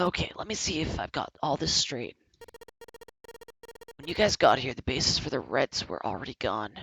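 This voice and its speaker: A man does a put-on character voice, raspy and fairly high-pitched, with very wide pitch swings. He speaks at a moderate pace. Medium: game stream. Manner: casual, slangy.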